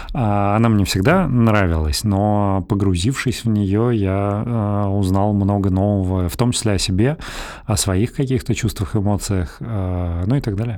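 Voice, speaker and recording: This man's voice sits fairly low and carries a dark, mellow tone. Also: ordinary pitch variation, fairly slow pace. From Russia, Belgorod. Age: 30s. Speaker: podcast host, lawyer. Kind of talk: casual chat.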